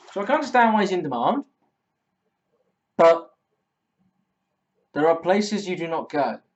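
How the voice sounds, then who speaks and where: A high-pitched man with an Essex accent, very wide pitch swings and long, frequent pauses. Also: moderate pace. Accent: Essex accent, noticeable. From Essex, England. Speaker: football fan vlogger. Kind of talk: vlog commentary, opinion monologue.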